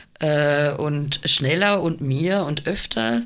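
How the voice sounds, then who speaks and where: A woman's lively intonation plays out at a very slow pace. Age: 50s. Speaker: cabaret artist and double bassist. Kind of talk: casual chat.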